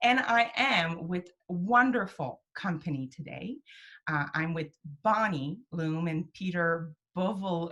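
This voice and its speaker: Fairly low-pitched woman's voice, bright and sharp in tone, with lively intonation. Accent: strong French Canadian. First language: French. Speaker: program director, web series host. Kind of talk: casual interview chat. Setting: home office, video call.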